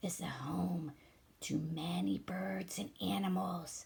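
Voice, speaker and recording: A woman growls in a put-on character voice, fairly low in pitch and at a very slow pace. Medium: read story.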